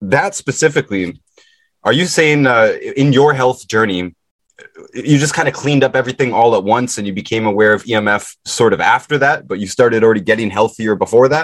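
Speaking at a fairly quick pace, a man with an ordinary speaking voice holds a medium pitch with ordinary variation. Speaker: podcast host. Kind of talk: casual interview.

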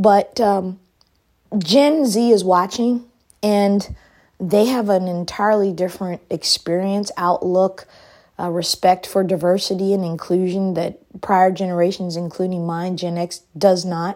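An unremarkable speaking voice at a fairly slow pace, its intonation fairly even. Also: woman, medium pitch for a woman. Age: 50s. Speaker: political podcast host and commentator. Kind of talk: solo political commentary monologue. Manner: casual, conversational with frequent fillers.

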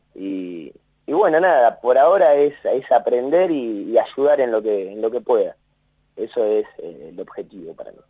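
Speaking at a fairly slow pace, a man's voice swings widely in loudness. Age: 20s. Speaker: university maintenance worker. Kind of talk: interview. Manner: halting, repeats words.

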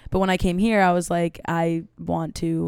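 A woman with an American accent speaks in a fairly low, monotone, flat voice. The recording is very clean, with a silent background. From New York City. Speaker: guest, actress and model. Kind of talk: casual chat.

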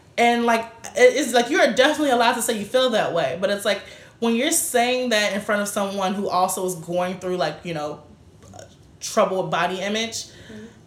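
A woman talks at a fairly quick pace with lively intonation and a fairly high pitch. Her loudness swings widely, and room echo is audible. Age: 20s. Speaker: podcast co-host and author. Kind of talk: casual chat.

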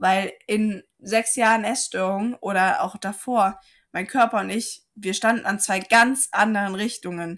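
A plain, everyday voice talks at a fairly slow pace. The recording is very clean, with a silent background. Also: woman, medium pitch for a woman, fairly even intonation. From Saarland, Germany. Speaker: physiotherapist and life coach. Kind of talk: casual interview chat.

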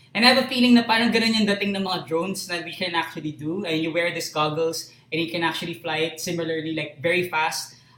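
Over noticeable background noise, a man with a high pitch rattles along at a very fast pace with hardly any pauses, ordinary pitch variation and big swings in loudness. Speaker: live stream host. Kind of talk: casual chat. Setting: live stream.

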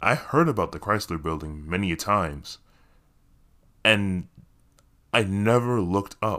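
On a very clean recording with a silent background, a man talks at a fairly low pitch with a bright, sharp tone. His pace is fairly slow, with long, frequent pauses and lively intonation. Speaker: podcaster and actor. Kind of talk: casual solo monologue. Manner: self-deprecating, laughs often.

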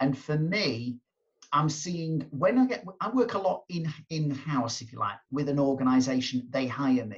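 A man speaks in an ordinary speaking voice, fairly high in pitch, with lively intonation. His pace is fairly slow, and his loudness swings widely. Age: 50s. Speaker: motivational speaker and coach. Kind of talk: interview.

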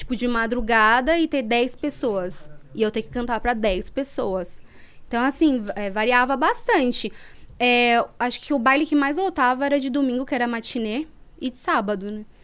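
At a moderate pace, a woman speaks in a high pitch with lively intonation and big swings in loudness. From São Paulo, east side. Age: 20s. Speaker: former funk MC. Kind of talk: podcast interview.

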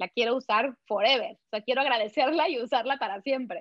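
With ordinary pitch variation, a woman speaks in an energetic tone. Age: 40s. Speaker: running and nutrition coach. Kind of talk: interview.

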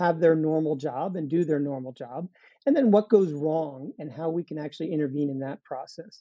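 A plain, everyday voice moves along at a moderate pace. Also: man. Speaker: biotech company CEO. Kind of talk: interview, explanatory.

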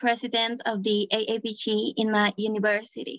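In a Bolivian accent, the speaker goes at a fairly slow pace, and the sound is dry and close with no echo. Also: woman. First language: Spanish. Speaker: engineering student. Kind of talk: interview answers.

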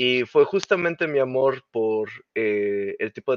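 This is a man with an ordinary speaking voice, medium in pitch and fairly even in intonation. The sound is dry and close with no echo, and the background is quiet. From Mexico. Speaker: game creative director. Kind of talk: interview.

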